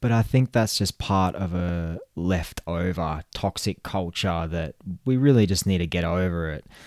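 Recorded very cleanly against a silent background with a dry, close sound and no echo, a man speaks at a very deep, low pitch and a fairly slow pace, with hardly any pauses and ordinary pitch variation. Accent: Australian. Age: 30s. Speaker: podcast host. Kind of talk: solo podcast monologue.

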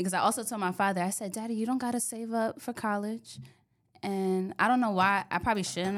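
A woman with a New York accent speaks at a very fast pace. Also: very clean recording, silent background. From New York (Bronx, Yonkers). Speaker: insurance agent. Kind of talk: interview. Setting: studio.

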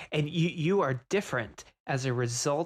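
A man's fairly high, somewhat breathy voice with lively intonation, on a very clean recording with a silent background. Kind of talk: casual chat.

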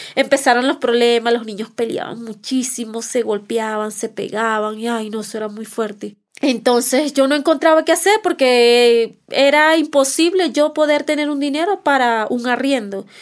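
In a very clean recording with a silent background, a woman with a Venezuelan accent speaks at a moderate pace and a high pitch, with ordinary pitch variation. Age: 30s. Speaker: migrant mother. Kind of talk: testimony.

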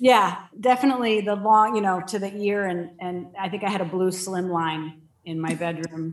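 An ordinary speaking voice comes through with an American accent and ordinary pitch variation. The pace is moderate. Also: woman, medium pitch for a woman. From Connecticut, US Northeast (Danbury). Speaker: novelist. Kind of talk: casual chat.

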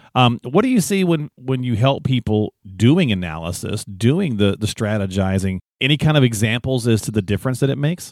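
A medium-pitched man in an unremarkable speaking voice, lively intonation, a fairly quick pace and hardly any pauses, on a very clean recording with a silent background and dry, close sound with no echo. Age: 50s. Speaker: podcast co-host. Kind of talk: casual chat.

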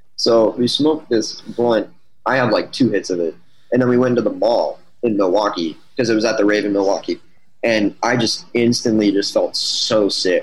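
Here a man talks at a moderate pace in a medium pitch, with ordinary pitch variation and very even loudness. He has an unremarkable speaking voice. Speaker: band member / musician. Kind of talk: casual interview chat.

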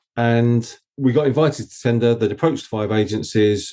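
With an Essex accent, a man speaks at a medium pitch in a dark, mellow tone. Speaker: agency founder. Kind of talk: interview conversation.

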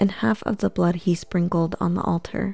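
The voice is somewhat breathy, with a dark, mellow tone and a calm, soothing quality. Intonation stays fairly even on a very clean recording with a silent background. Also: woman. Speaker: scripture narrator. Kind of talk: scripture audiobook reading. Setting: studio with background music. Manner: slow, even, calm and soothing; formal, measured.

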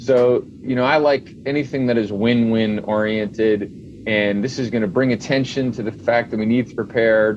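With hardly any pauses, a normal speaking voice moves along at a moderate pace. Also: man, medium pitch for a man, fairly even intonation. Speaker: home builder company owner. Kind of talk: interview podcast.

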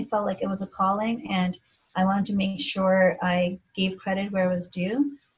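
The voice comes across as somewhat breathy. Its pace is moderate. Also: woman. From India, moved to Philadelphia at 11. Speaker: physician. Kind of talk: interview.

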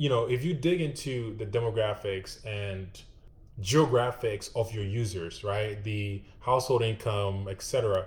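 Somewhat breathy male speech in a medium register, pitch moving in an ordinary way. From Ghana. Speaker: UX designer. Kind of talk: interview.

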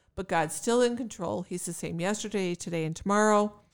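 Captured in a very clean recording with a silent background, a woman with a plain, everyday voice talks at a medium pitch and fairly quick pace. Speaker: podcast co-host. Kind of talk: casual chat.

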